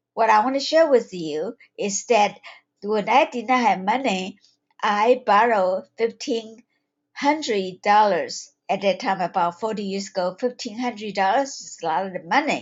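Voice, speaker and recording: At a moderate pace, a woman with a Taiwanese accent speaks at a fairly high pitch with ordinary pitch variation and big swings in loudness. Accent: Taiwanese accent in English, noticeable. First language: Chinese. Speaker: holistic health coach and psychiatric nurse. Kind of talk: webinar talk. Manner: halting, with fillers.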